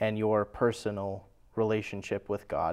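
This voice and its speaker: In an American accent, a man talks fairly slowly at a fairly low pitch. The recording is very clean with a silent background. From California, San Jose area. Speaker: church member sharing faith story. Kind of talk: testimony.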